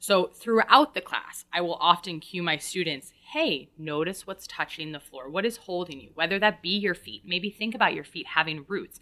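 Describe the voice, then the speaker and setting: Hardly pausing at all, this speaker has a plain, everyday voice with an American accent, lively intonation, big swings in loudness and a moderate pace. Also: woman, fairly low pitch for a woman. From Woodstock, New York, US. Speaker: yoga teacher. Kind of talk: interview conversation.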